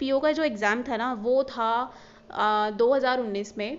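A woman speaks in a high pitch. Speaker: banking exam YouTuber. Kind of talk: casual vlog talk to camera.

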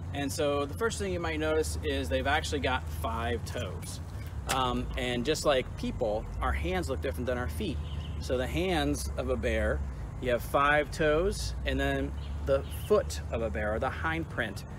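A man with a very deep, low pitch and vocal fry talks at a fairly slow pace with lively intonation, in a dry sound with no echo over noticeable background noise. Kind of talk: educational presentation. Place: forest.

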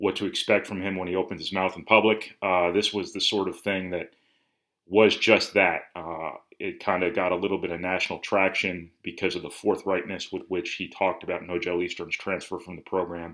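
A very deep, low male voice, monotone and flat, at a fairly quick pace. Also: quiet background. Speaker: sports reporter. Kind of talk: commentary. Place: home room. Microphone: webcam.

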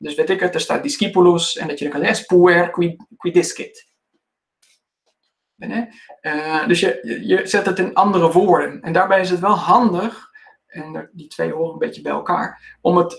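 Over a quiet background, a man with a high pitch and ordinary pitch variation talks with big swings in loudness. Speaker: classics teacher giving a presentation. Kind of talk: lecture. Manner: fast. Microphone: video call.

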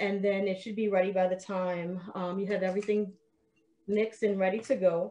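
A dark, mellow tone at a moderate pace. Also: woman. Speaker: cooking demonstrator. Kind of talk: tutorial. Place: kitchen. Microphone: video call.

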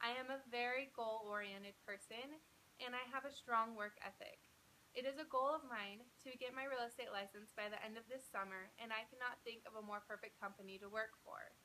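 With an American accent, a bright, sharp tone comes through at a moderate pace and fairly even intonation over light background noise. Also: woman. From Utah (Provo). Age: 20s. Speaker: job applicant. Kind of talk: video job application pitch. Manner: formal. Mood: upbeat, confident, smiling. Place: home room. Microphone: phone near.

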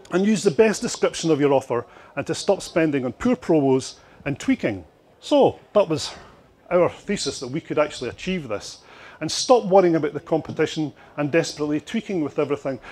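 Talking at a fairly quick pace, a man with a Scottish accent uses lively intonation at a fairly high pitch. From Scotland. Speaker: marketing consultant and speaker. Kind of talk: conference presentation. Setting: stage with audience at expo. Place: hall. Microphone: handheld.

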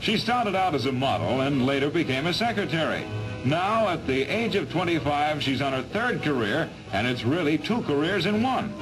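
Over clear music in the background, a man speaks at a moderate pace with a fairly high pitch, very wide pitch swings, and very even loudness. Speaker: newsreel narrator. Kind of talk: 1940s newsreel narration. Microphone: old recording.

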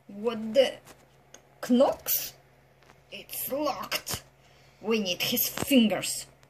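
A put-on character voice, female-sounding and fairly high in pitch, with a non-native accent as part of the act, speaks at a very slow pace with long, frequent pauses. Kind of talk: comic overacting. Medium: comedy sketch. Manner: menacing, shouting.

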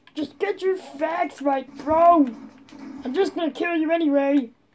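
A woman puts on a character voice at an extremely high pitch, speaking at a moderate pace over light background noise. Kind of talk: amateur comic acting. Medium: machinima. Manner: shouting, taunting, petulant.

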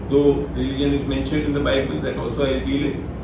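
A man's voice comes with audible room echo and noticeable background noise. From India, Rajasthan. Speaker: retired forest service officer and Bible teacher. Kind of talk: online Bible talk. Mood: calm, smiling. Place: home room.

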